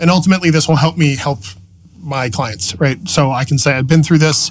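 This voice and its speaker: An American-accented man, fairly high in pitch with vocal fry, lively intonation and a fairly quick pace. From Massachusetts, New England. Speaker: hardware engineer and entrepreneur. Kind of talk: casual podcast interview. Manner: animated.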